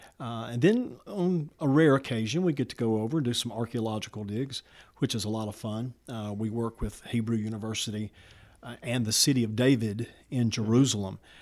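With a Southern US accent, a man talks at a medium pitch. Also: ordinary pitch variation, fairly quick pace. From Alabama, Walker County. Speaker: pastor and political candidate. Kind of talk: interview answers. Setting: studio.

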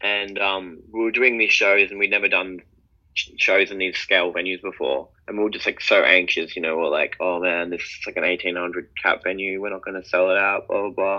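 A man speaks in an Australian accent. His pace is moderate. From Sydney, Australia. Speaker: electronic music duo member. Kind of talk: interview.

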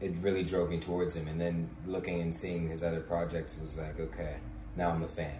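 Noticeable background noise runs under a fairly quick pace. The voice has an American accent and ordinary pitch variation. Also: man, very deep, low pitch for a man. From Washington DC. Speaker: podcast host. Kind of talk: casual chat.

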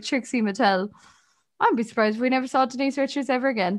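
Against a quiet background, a woman with an Irish accent talks at a very fast pace. Her voice is high-pitched with a bright, sharp tone. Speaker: podcast co-host. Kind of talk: casual chat.

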